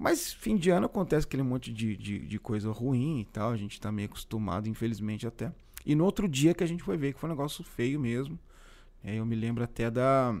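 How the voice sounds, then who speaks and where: Very clean recording with a silent background, a man with an ordinary speaking voice, medium pitch, lively intonation and a fairly quick pace. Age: 40s. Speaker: podcast host. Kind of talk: casual chat. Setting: live stream.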